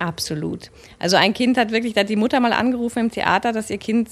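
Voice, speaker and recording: Against a quiet background, a woman talks fairly quickly at a fairly high pitch in a normal speaking voice. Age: 30s. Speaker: actress and voice artist. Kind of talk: casual chat.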